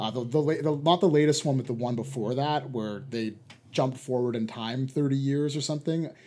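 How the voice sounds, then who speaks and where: A man at a medium pitch and fairly quick pace, with fairly even intonation. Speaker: podcast host. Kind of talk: casual chat. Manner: fast talker.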